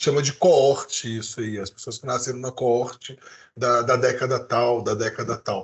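Somewhat breathy, a man speaks at a moderate pace and medium pitch with fairly even intonation and big swings in loudness. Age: 40s. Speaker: podcast co-host. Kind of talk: casual chat. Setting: live stream.

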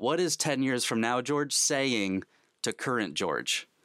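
A plain, everyday voice from a man at a medium pitch, fairly slow and with lively intonation, in a dry, close sound with no echo and a very clean, silent background. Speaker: podcast host. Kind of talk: interview chat.

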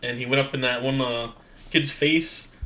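With an American accent, a man talks in a fairly high voice and fairly even intonation over noticeable background noise. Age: 30s. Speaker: podcast co-host. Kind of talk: casual chat.

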